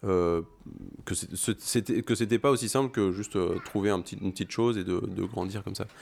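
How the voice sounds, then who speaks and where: The man speaks at a fairly quick pace. His pitch sits fairly low. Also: ordinary pitch variation. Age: 30s. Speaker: father on parental leave. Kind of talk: casual interview chat. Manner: halting, many hesitations.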